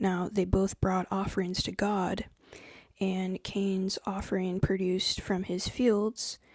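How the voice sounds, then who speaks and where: A soft-spoken voice talking at a fairly slow pace. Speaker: spiritual content creator. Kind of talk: live stream talk to viewers.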